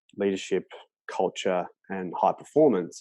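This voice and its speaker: Over a quiet background, a man with an Australian accent speaks fairly slowly in a fairly low, dark, mellow voice. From Australia, Melbourne. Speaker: sports coach and author. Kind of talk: interview. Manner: halting, many repetitions.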